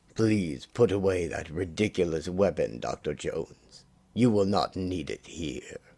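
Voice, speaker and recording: A man's put-on character voice, very deep and low in pitch, with ordinary pitch variation. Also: moderate pace. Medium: read story. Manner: polite, formal, implied menace.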